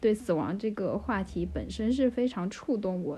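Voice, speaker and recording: A woman speaks at a fairly slow pace in a somewhat breathy voice. Her medium pitch has ordinary variation. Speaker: PhD student in comparative literature. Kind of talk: casual chat.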